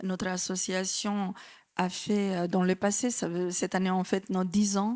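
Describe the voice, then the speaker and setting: On a very clean recording with a silent background, a woman with a Macedonian accent speaks at a fairly slow pace in a medium-pitched, monotone, flat voice. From North Macedonia. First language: Macedonian (speaking French). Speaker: association director. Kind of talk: conference talk. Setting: conference with audience. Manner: hesitant, many fillers.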